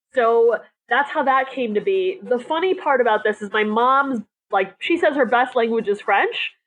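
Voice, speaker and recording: This woman's voice is high in pitch, with lively intonation. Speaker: social media consultant. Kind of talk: casual interview. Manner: energetic; fast.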